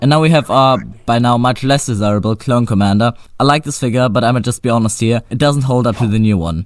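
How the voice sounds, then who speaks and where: At a fairly quick pace, a man speaks with a non-native accent. His pitch sits in the medium range. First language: not English. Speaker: toy reviewer. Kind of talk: product review. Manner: casual.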